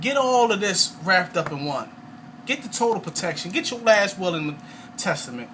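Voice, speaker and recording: A man speaks at a high pitch and a fairly quick pace with an animated tone and very wide pitch swings. Noticeable background noise can be heard. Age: 30s. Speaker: network marketing salesman. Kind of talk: testimony sales pitch. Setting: at home, video recording.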